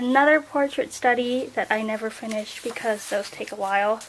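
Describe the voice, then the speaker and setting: At a moderate pace, the speech comes through with noticeable background noise. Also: woman. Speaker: art vlogger. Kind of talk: casual sketchbook flip-through. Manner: casual, filler-heavy.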